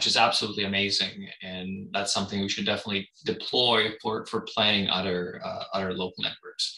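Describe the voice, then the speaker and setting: A bright, sharp tone at a moderate pace, with audible room echo and a quiet background. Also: man. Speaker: meeting organizer for a meteor camera network. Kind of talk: moderating an online meeting. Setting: video call. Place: home room. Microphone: webcam.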